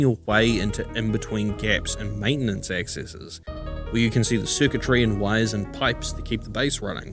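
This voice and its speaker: Over music in the background, a man speaks at medium pitch and a moderate pace with ordinary pitch variation. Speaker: game reviewer. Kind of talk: video game review narration. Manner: casual, conversational.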